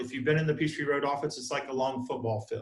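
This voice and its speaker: A somewhat breathy man with a Southern US accent, audible room echo around him. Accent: Southern US (Georgia). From US South, South Georgia. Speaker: real estate broker and instructor. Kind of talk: online training class. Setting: video call from office conference room. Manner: fast.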